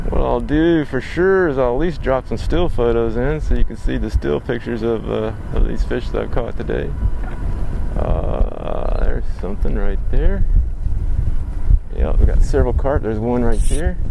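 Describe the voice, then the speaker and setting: Noticeable background noise surrounds a man speaking at a moderate pace in dry sound with no echo. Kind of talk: casual vlog chat. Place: boat.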